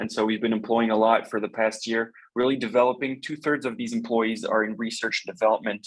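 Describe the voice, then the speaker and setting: His pace is very fast and his pitch sits at a medium level. The man's intonation stays monotone and flat. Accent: slight French. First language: French. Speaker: company representative presenting robotics products. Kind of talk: webinar product presentation. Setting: video call webinar. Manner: halting, many fillers.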